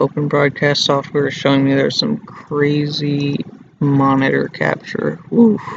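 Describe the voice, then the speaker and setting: A quiet, fairly high-pitched man's voice at a fairly slow pace with ordinary pitch variation, dry with no echo, amid noticeable background noise. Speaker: college student. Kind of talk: casual screen-recording tutorial. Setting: public study area, not a studio. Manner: quiet, hushed.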